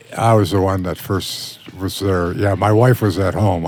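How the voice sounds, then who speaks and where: A man's fairly low, fairly evenly intoned voice at a moderate pace, with noticeable background noise. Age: 70s. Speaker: bereaved father and advocate. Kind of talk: interview. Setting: studio.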